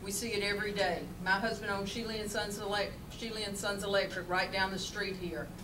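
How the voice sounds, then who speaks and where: The speech moves at a moderate pace. Noticeable background noise is present. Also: woman. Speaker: candidate. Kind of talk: campaign speech. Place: meeting room. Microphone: camera far.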